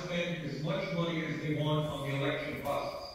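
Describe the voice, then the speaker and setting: Delivered at a moderate pace in a flat monotone, the speech carries strong room echo over light background noise. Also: man. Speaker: remote guest. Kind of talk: political speech. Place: home room. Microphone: video call.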